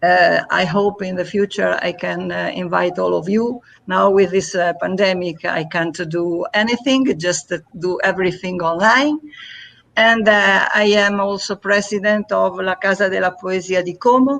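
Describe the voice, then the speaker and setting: In an Italian accent, a woman speaks at a moderate pace with a medium pitch and ordinary pitch variation. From Italy. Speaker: poet and festival organizer. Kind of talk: casual live interview. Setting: online live stream. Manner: halting, many hesitations.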